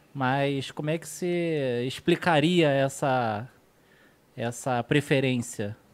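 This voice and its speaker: His delivery is very slow. This man's pitch is fairly high and shows ordinary variation. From Rio de Janeiro, Brazil. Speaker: podcast co-host. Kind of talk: casual chat.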